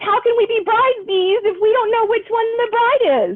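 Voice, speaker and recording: Squeaky and extremely high, a woman's put-on character voice comes through. She keeps a moderate pace. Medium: read story. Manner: eager, insistent.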